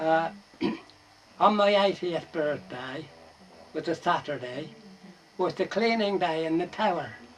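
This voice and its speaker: Long, frequent pauses break up a man's high-pitched speech, which moves fairly slowly with ordinary pitch variation. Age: 80s+. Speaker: bellringer. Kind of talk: oral history interview. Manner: casual, conversational.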